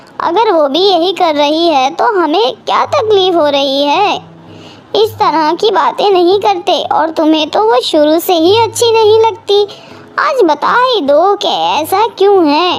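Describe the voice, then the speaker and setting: A cartoonish character voice delivers its lines at a moderate pace. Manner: mild, reasonable.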